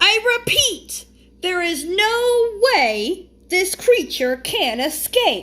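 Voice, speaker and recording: Putting on a character voice, a woman speaks at a very slow pace in an extremely high, squeaky pitch with very wide pitch swings. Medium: read story.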